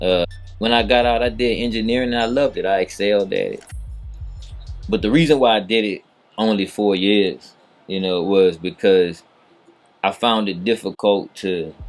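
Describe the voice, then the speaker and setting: A man with an American accent speaks at a moderate pace and a fairly low pitch, with ordinary pitch variation. He leaves long, frequent pauses while music plays in the background. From New Orleans, Louisiana. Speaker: entrepreneur. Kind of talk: casual interview. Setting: studio.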